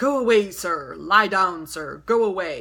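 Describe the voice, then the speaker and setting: A raspy, put-on character voice at a middle pitch delivers its lines in a stern tone at a fairly slow pace. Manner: stern, commanding.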